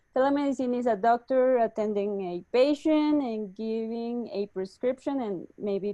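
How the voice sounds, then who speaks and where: A woman with a Spanish accent speaks at a fairly slow pace in a fairly high pitch with a dark, mellow tone and ordinary pitch variation, recorded dry and close with no echo. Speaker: startup executive. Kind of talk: webinar interview. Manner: halting.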